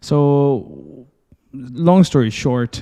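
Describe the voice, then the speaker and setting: A man with a dark, mellow tone and ordinary pitch variation. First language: Urdu. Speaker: medical student and IELTS teacher. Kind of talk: interview podcast.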